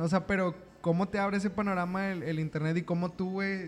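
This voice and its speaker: Over noticeable background noise, a man with a high-pitched voice speaks fairly quickly and with fairly even intonation. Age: 20s. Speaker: podcast host. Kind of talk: casual chat.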